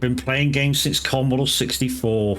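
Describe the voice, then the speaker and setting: This speaker has a British accent and goes at a moderate pace. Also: man. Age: 40s. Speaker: gaming streamer. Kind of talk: casual chat. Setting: live stream.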